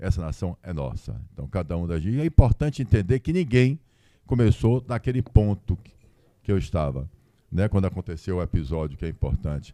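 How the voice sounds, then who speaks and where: Very deep and low with a dark, mellow tone, a man's voice swings very widely in pitch at a fairly quick pace, in a very clean recording with a silent background and a dry, close sound with no echo. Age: 60s. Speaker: businessman and lawyer. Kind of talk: live podcast interview. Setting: stage with audience.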